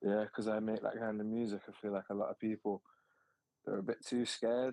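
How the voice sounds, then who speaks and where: A man speaks very fast in a fairly low, monotone, flat voice. The sound is dry and close, with no echo. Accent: Mancunian. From Manchester, England. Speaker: rapper. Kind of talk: casual interview.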